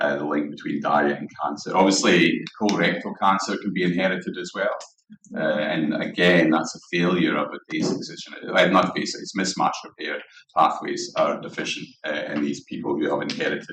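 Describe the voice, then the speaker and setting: A man with a Scottish accent talks at a fairly quick pace amid audible room echo. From Scotland, Dundee. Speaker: guest lecturer, cancer researcher. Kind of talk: lecture. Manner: halting, many fillers.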